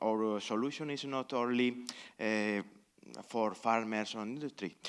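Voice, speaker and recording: With a Spanish accent, the speaker moves at a fairly slow pace and uses ordinary pitch variation. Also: man. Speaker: conference panelist, researcher. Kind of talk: panel discussion Q&A. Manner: halting, many fillers.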